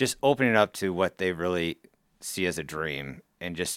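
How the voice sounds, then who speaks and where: A man with a US Midwestern accent talks in a very deep, low voice with ordinary pitch variation. The recording is very clean, with a silent background. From Council Bluffs, Iowa, US Midwest. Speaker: contractor. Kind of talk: casual chat. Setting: studio.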